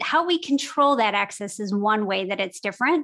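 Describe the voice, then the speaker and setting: A woman's fairly high voice with ordinary pitch variation at a moderate pace. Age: 40s. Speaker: podcast hosting company co-founder. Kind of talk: interview. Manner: animated.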